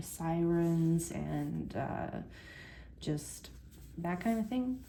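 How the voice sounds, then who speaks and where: This soft-spoken voice has a dark, mellow tone. It is also somewhat breathy. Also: woman. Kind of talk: casual book review to camera.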